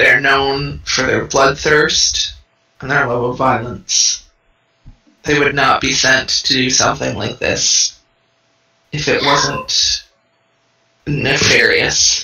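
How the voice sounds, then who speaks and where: A man's put-on character voice, fairly high in pitch, at a very slow pace with long, frequent pauses. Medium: actual play. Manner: blunt, distrustful.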